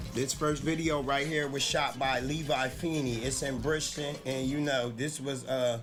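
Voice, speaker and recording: Music plays in the background and audible room echo surrounds a man with an American accent, whose fairly high voice is monotone and flat, very even in loudness, with hardly any pauses. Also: moderate pace. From South Jersey, US. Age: 20s. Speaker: rapper. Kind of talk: casual interview.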